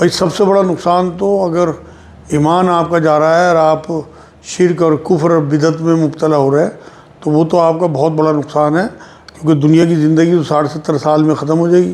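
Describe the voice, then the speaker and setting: Flat and monotone, a man speaks at a moderate pace in a fairly high pitch, his loudness very even. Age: 60s. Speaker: Islamic religious scholar. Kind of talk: religious Q&A answering.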